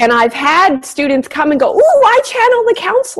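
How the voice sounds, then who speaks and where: A woman is speaking. Her pitch swings very widely. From small town. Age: 40s. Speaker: spiritual medium and channel. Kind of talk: interview. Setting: radio show, pre-recorded. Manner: talkative.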